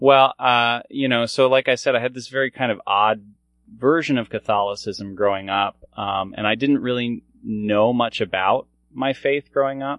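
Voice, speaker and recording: An American-accented man's medium-pitched voice at a moderate pace with fairly even intonation. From US, Maryland (Columbia). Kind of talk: casual chat.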